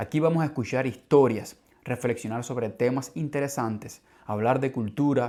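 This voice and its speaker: A man's dark, mellow voice at a medium pitch, fairly slow, with ordinary pitch variation. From Cuba. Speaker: language teacher, podcast host. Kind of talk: scripted podcast monologue for learners. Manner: clear, measured.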